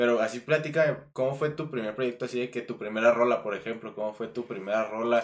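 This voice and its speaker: An ordinary speaking voice from a man at medium pitch, moving at a fairly quick pace with ordinary pitch variation and hardly any pauses. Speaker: podcast host. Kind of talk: casual chat.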